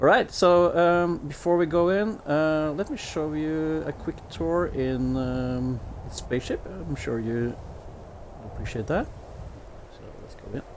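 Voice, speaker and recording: A man with a Norwegian accent talks at a fairly slow pace, his loudness swinging widely. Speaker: gaming streamer. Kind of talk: gameplay commentary. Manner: hesitant, many fillers.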